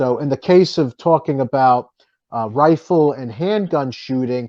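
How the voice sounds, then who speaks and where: Speaking in a strong Boston accent, a man with a fairly high pitch keeps a moderate pace against a quiet background, the sound dry and close with no echo. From New Jersey. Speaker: author and firearms writer. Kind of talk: interview.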